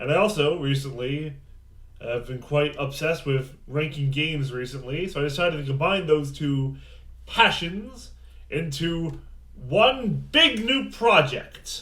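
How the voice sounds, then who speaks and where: A man talks at a fairly slow pace. His pitch sits fairly high, with ordinary variation. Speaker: game reviewer. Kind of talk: casual talk to camera. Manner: mumbly at times.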